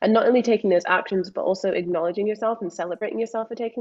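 Speaking with a Scottish accent, a woman keeps a fairly high pitch and fairly even intonation. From Scotland. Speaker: mindset coach. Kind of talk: interview.

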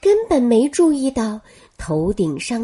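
Reading done in an unforced voice.

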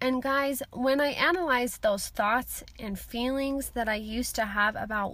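This woman talks at a very slow pace, her pitch fairly high with ordinary variation. The recording is very clean, with a silent background. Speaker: self-help podcast host. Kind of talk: solo motivational talk. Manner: animated.

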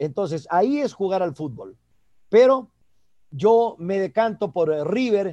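Against a quiet background, a man speaks very slowly in a dark, mellow tone, his high pitch carrying lively intonation. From Ecuador, El Oro province (Piñas). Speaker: sports commentator. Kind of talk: interview.

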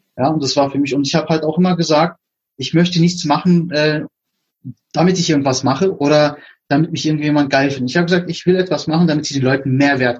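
Very fast, somewhat breathy speech from a man at a fairly high pitch, with fairly even intonation. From Berlin, Germany. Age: 40s. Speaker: podcast host. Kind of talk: casual interview chat.

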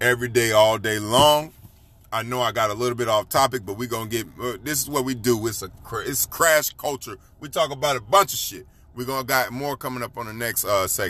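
A man's medium-pitched voice comes through with a bright, sharp tone. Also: ordinary pitch variation. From Florida. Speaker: podcast host. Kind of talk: casual monologue.

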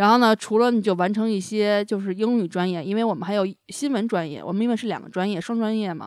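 Speaking very fast with hardly any pauses, a woman holds a medium pitch and fairly even intonation on a very clean recording with a silent background. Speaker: podcast host. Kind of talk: casual chat.

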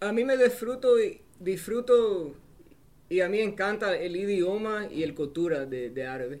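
With an English accent, a man speaks fairly slowly at a high pitch, with lively intonation. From New Jersey, US, Cuban family. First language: English (speaking Spanish). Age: 30s. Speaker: war veteran and football coach. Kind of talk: casual interview chat.

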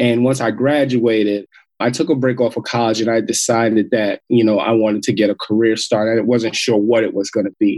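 An ordinary speaking voice with an American accent moves at a fairly quick pace, recorded with a dry, close sound and no echo. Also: man. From Queens, New York. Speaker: social entrepreneur and hip hop artist. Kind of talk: interview.

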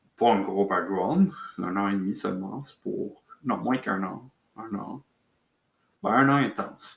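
Very slow and marked by long, frequent pauses, a man's fairly low voice shows big swings in loudness. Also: ordinary pitch variation. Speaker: podcaster on fencing and martial arts. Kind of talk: solo casual monologue. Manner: halting, many fillers.

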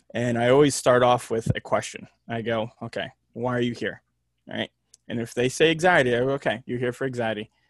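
A man speaks at a medium pitch with an ordinary speaking voice. His intonation is fairly even and his pace fairly quick. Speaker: mental health worker, former hockey player. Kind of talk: casual interview chat.

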